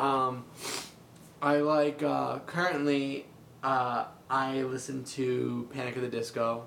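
Speaking very slowly with long, frequent pauses, a man keeps a medium pitch and a monotone, flat intonation amid noticeable background noise and audible room echo. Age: 20s. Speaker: freelance comic artist and colorist. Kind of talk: casual interview.

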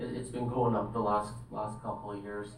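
A man's fairly low voice moves at a moderate pace amid noticeable background noise. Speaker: forestry planning supervisor. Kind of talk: presentation to council.

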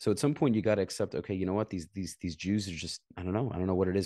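In an American accent, a man speaks in a very deep, low voice with a dark, mellow tone and ordinary pitch variation against a quiet background. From Brooklyn, New York. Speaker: former soldier. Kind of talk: casual interview.

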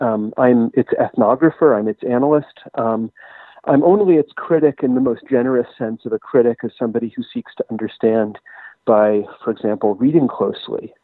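A man speaks in a plain, everyday voice at a medium pitch, with ordinary pitch variation and a moderate pace. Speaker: writer and historian. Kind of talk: interview.

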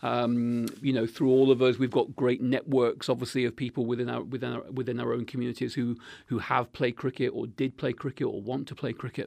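A man talks at a fairly quick pace with hardly any pauses, his medium-pitched voice carrying vocal fry. His intonation stays monotone and flat over a quiet background. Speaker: club secretary. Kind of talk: casual radio interview. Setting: studio. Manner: halting, many fillers.

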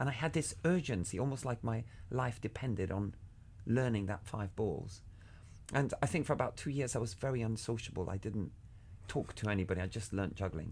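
With lively intonation and a fairly quick pace, a man talks in a somewhat breathy voice. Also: medium pitch for a man. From Cuba (Havana). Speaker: juggler and artistic director. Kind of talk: interview.

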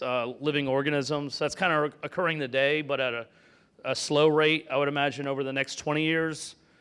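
A man with an American accent uses a plain, everyday voice of fairly high pitch. He keeps a moderate pace and fairly even intonation. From Florida. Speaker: tech entrepreneur and investor. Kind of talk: fireside talk.

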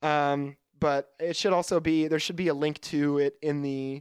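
In a dry, close sound with no echo, a man with a fairly high pitch talks at a moderate pace in a normal speaking voice. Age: 20s. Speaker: podcast co-host. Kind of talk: casual chat. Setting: remote call.

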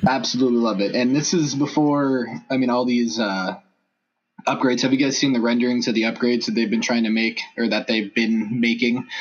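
A man with an American accent and an ordinary speaking voice, fairly quick pace, medium pitch, fairly even intonation and very even loudness. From Los Angeles. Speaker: sports fan blogger. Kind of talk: casual chat.

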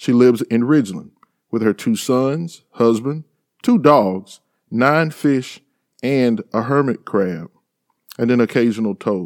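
Someone with a Mississippi accent speaks at a fairly slow pace with long, frequent pauses, the sound dry and close with no echo. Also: man, medium pitch for a man, ordinary pitch variation. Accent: US Southern (Mississippi). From Mississippi Delta, Sunflower County. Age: 40s. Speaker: podcast host. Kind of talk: interview; scripted introduction.

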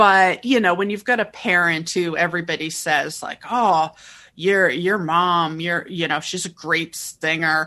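A woman's normal speaking voice, fairly low in pitch, with ordinary pitch variation and a fairly slow pace, over a quiet background. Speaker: podcast host and opera critic. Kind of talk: casual interview.

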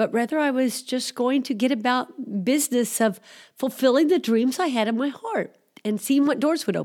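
A woman speaks with an American accent at a high pitch. The recording is very clean, with a silent background. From US Midwest (Missouri). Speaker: missionary pastor and aid worker. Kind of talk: interview testimony. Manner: halting, many fillers.

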